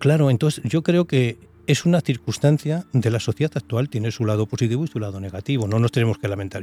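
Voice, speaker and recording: Talking at a very fast pace, a man of medium pitch uses ordinary pitch variation in a dry, close recording with no echo. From Spain, Soria. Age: 70s. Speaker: retired social worker. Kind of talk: interview.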